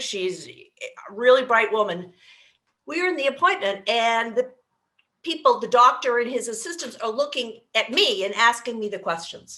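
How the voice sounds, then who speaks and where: A woman speaks at a moderate pace in an ordinary speaking voice. Her fairly high pitch moves with lively intonation. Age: 60s. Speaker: aging life care manager. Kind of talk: casual chat.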